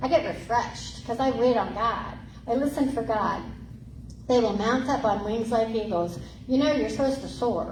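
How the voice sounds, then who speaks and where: Noticeable background noise and audible room echo surround a woman speaking at a moderate pace. Her voice is fairly high, with ordinary pitch variation. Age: 60s. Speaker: pastor. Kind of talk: sermon. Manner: animated.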